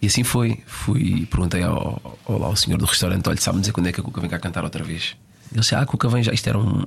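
Noticeable background noise surrounds a man speaking at a very fast pace. His fairly low voice carries lively intonation. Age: 30s. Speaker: football physiotherapist. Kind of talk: casual interview. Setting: studio.

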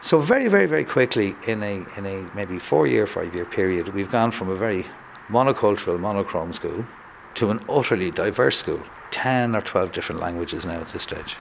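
A man with a Dublin accent, fairly low-pitched, ordinary pitch variation, a fairly quick pace, and noticeable background noise. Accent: Dublin Irish. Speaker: school principal. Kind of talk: interview.

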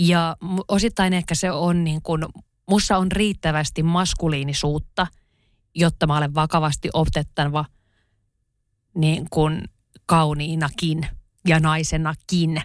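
A woman with a very deep, low pitch talks at a very slow pace in a monotone, flat intonation, leaving long, frequent pauses. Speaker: writer and podcast co-host. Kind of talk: casual chat.

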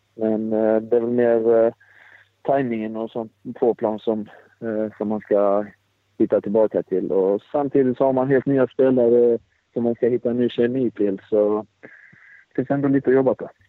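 A man's medium-pitched, monotone voice at a moderate pace, broken by long, frequent pauses. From Sweden, Blekinge (Karlshamn). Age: 20s. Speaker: professional footballer. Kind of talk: interview. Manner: halting.

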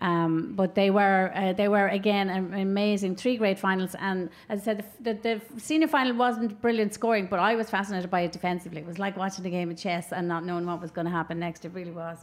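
Someone with an Irish accent talks at a very fast pace, with hardly any pauses and ordinary pitch variation. Noticeable background noise can be heard. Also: woman, medium pitch for a woman. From Ireland. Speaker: podcast host. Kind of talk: casual chat. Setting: live outdoor event.

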